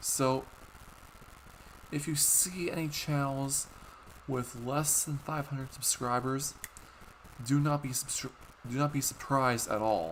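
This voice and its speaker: The speech goes at a fairly slow pace with long, frequent pauses. Noticeable background noise sits under it. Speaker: YouTuber. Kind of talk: livestream chat. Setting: live stream. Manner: stuttering.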